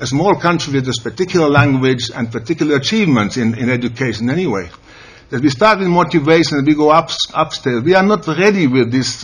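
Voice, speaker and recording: A man speaks at a very fast pace with lively intonation and a fairly high pitch. Noticeable background noise runs underneath. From Finland. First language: Finnish. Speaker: educator, conference panelist. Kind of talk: conference presentation. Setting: panel at a senate hall. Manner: halting.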